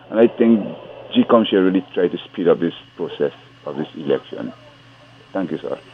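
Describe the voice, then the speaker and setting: A man talks at a fairly quick pace, broken by long, frequent pauses. Noticeable background noise sits behind him. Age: 60s. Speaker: caller. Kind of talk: phone-in call. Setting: phone call.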